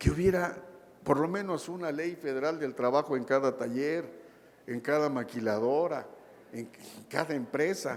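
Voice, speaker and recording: A man talks at a fairly slow pace in a fairly high pitch with ordinary variation, and the room echo is audible. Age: 60s. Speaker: labor lawyer. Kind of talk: lecture.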